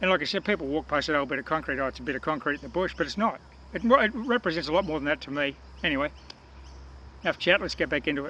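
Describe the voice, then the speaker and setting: Talking at a very fast pace, a man with an Australian accent has a bright, sharp tone and vocal fry. His fairly high pitch varies in an ordinary way. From Australia, Newcastle, New South Wales. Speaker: metal detecting vlogger. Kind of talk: casual chat to camera. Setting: outdoors.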